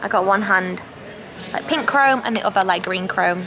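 Noticeable background noise sits behind a woman's voice. She talks at a moderate pace with ordinary pitch variation. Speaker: travel vlogger. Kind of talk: casual vlog chat. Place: station. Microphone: phone near.

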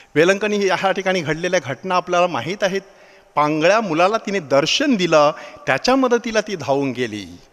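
Noticeable background noise accompanies a man whose high pitch carries lively intonation. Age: 50s. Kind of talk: sermon.

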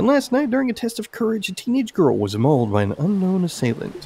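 A man's put-on character voice, high-pitched and fast, with very wide pitch swings, a slightly mellow tone, vocal fry and a slightly husky edge.

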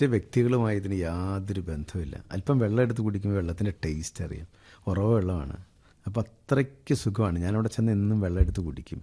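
A man's somewhat breathy voice, dark and mellow in tone, with ordinary pitch variation. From Kerala, Idukki district (Adimali). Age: 50s. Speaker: organic farmer and businessman. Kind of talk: interview.

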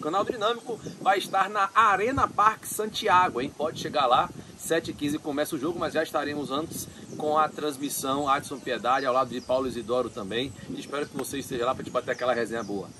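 The speech runs fairly fast, with noticeable noise behind it. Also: man. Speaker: sports reporter. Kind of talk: sports news vlog. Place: open country.

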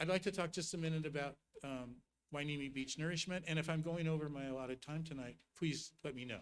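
A man talks at a very fast pace in a fairly high pitch, his intonation fairly even. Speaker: regional coastal planning agency representative. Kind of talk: presentation to city council. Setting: city council meeting.

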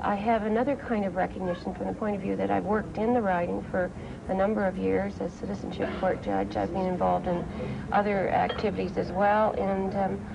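Noticeable background noise runs under speech delivered at a fairly quick pace. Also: woman. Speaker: election candidate. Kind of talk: interview answer. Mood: upbeat, cheerful. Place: cafe.

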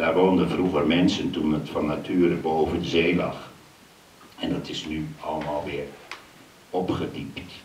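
A flat, monotone voice at a fairly slow pace with long, frequent pauses, audible room echo and light background noise. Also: man, very deep, low pitch for a man. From Zaanstreek, North Holland; North Holland. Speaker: poet performer. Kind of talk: poetry reading and talk. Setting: stage with audience. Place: stage.

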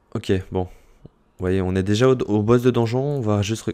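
With a fairly low pitch, a man speaks at a moderate pace. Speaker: gaming YouTuber and streamer. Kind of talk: gameplay tutorial commentary. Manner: loud; clear articulation.

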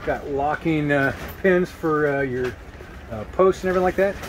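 A man talks fairly slowly while noticeable noise runs in the background. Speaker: camping channel host. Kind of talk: casual product review vlog. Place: tent. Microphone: phone near.

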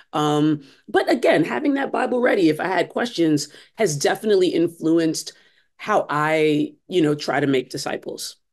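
A woman with an American accent and an ordinary speaking voice, fairly low in pitch, lively intonation, moderate pace, quiet background. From US Northeast, Brooklyn, New York. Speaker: church discipleship director and author. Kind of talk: interview. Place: home room. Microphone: video call.

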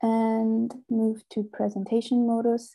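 Against a quiet background, a woman speaks fairly slowly in a somewhat breathy voice with a fairly high pitch. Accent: German. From Germany. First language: German. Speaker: software engineer; presenter. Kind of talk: conference presentation. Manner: halting. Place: home room. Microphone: earbuds.

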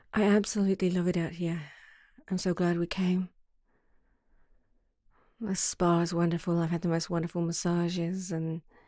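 Over a silent background in a very clean recording, a woman with a fairly low pitch and a dark, mellow tone speaks at a moderate pace in a monotone, with very even loudness and long, frequent pauses. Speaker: ASMR roleplay creator. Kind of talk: ASMR girlfriend roleplay. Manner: soft-spoken, affectionate.

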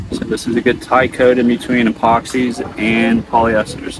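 The recording is dry with no echo, and background noise is noticeable. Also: man. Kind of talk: tutorial. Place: open country.

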